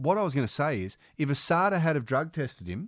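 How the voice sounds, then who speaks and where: In a normal speaking voice, a man talks at a fairly quick pace with lively intonation. The sound is dry and close with no echo, a very clean recording over a silent background. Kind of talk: casual mates' banter, laughing at himself. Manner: wry, quick, easygoing, self-deprecating.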